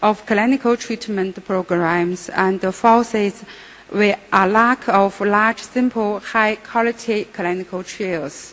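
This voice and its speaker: Over noticeable background noise, a woman talks at a very slow pace with a medium pitch and fairly even intonation. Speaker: psychiatrist. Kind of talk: conference lecture. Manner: halting.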